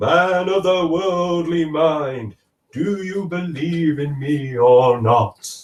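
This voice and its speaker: Using a put-on character voice, a man talks at a very slow pace and a fairly high pitch. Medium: read story. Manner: slow, grave.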